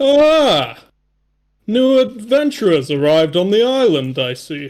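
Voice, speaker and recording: Putting on a character voice, a man speaks in a high pitch with very wide pitch swings at a fairly slow pace. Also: very clean recording, silent background. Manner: grand, commanding.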